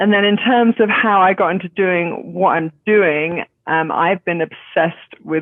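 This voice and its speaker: A woman speaks with a British accent. Her pitch variation is ordinary. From England. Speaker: zero waste grocery co-founder. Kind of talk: podcast interview.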